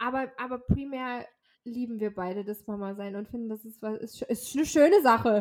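Using an unremarkable speaking voice, a woman with a fairly high pitch talks at a moderate pace with ordinary pitch variation and big swings in loudness. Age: 30s. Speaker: podcast co-host, mother. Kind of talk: casual chat.

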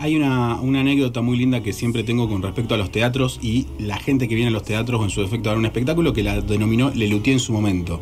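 With hardly any pauses, a man talks very fast at a medium pitch and ordinary pitch variation, amid noticeable background noise and audible room echo. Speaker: radio host. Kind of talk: radio interview. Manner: animated.

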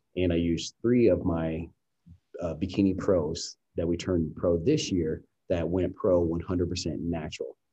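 This man has a very deep, low pitch and a dark, mellow tone that is somewhat breathy. He speaks in a flat monotone with an American accent. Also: fairly slow pace. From US Midwest, Columbus, Ohio. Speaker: dietitian and bodybuilding coach. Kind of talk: podcast interview.

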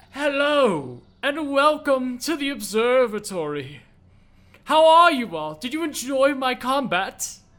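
A put-on character voice, high in pitch, moves along at a fairly slow pace. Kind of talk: formal. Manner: suave and welcoming.

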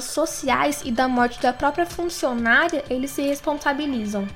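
A woman with a high pitch talks at a moderate pace as noticeable noise carries in the background. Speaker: podcast news presenter. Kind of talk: news reading.

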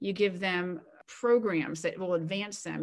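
A woman talks in an ordinary speaking voice at medium pitch and moderate pace, with ordinary pitch variation. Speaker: retired coast guard admiral and author. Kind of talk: interview.

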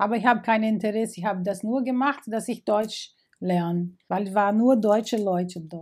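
In a very clean recording with a silent background, a speaker with a Portuguese accent talks at a moderate pace. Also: woman, fairly high pitch for a woman, ordinary pitch variation. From Brazil, Rio de Janeiro. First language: Portuguese (speaking German). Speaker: migrant interviewee. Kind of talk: interview. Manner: halting, with hesitations.

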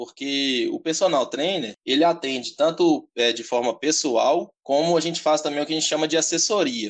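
A man with vocal fry and a fairly high pitch speaks at a moderate pace with lively intonation. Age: 20s. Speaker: personal trainer. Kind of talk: interview.

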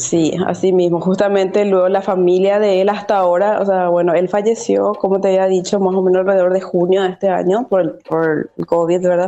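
A woman talks at a fairly quick pace with hardly any pauses, in a monotone, flat intonation. Her loudness is very even, and there is noticeable background noise. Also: medium pitch for a woman. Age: 20s. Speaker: dance teacher. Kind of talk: interview.

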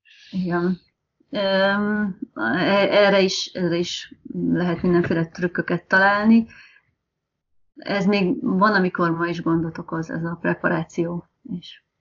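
Long, frequent pauses mark this woman's very slow speech, which has ordinary pitch variation. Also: medium pitch for a woman. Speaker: test engineer, language learner. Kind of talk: casual interview.

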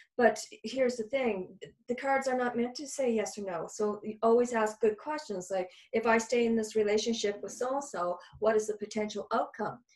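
Fairly high pitch from a woman with an ordinary speaking voice, fairly even intonation and a moderate pace. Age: 50s. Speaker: psychic medium and healer. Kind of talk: casual interview chat.

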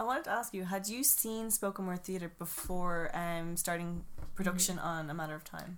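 Speaking with an Irish accent, a woman uses a fairly low pitch with ordinary pitch variation. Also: moderate pace. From Ireland. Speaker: podcast host. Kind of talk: casual chat.

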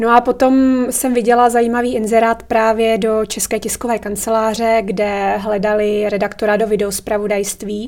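Speaking at a moderate pace with hardly any pauses, a woman keeps a fairly high, monotone, flat voice. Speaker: writer, former journalist. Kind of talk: interview.

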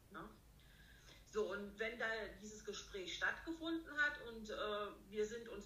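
A woman speaks slowly-ish, at a fairly slow pace, with a fairly high pitch, lively intonation and vocal fry. Her tone is bright and sharp, with audible room echo around it. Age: 50s. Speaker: riding instructor and dressage judge. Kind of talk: interview.

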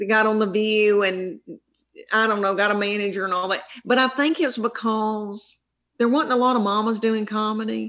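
A fairly high-pitched woman in a strong Southern US accent, with fairly even intonation, very even loudness, a moderate pace, and a very clean recording with a silent background. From US South. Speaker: stand-up comedian. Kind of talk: casual interview chat.

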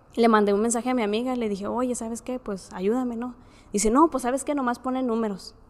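With a normal speaking voice, a woman of fairly high pitch talks at a fairly quick pace, her intonation fairly even. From Mexico, Ciudad Juárez. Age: 20s. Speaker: engineering student sharing a faith story. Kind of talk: testimony.

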